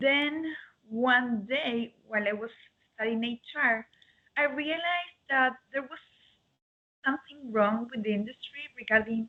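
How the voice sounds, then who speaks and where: A woman's high voice in an Argentine accent, at a fairly slow pace with ordinary pitch variation and long, frequent pauses. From Argentina. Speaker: dog grooming salon owner. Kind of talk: interview. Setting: video call.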